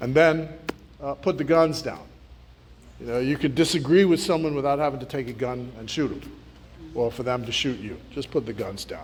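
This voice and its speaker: Audible room echo surrounds a man who speaks fairly quickly in a fairly high pitch with ordinary pitch variation. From Bahamas (Nassau). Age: 60s. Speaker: politician. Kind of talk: speech to students. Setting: community centre hall with audience.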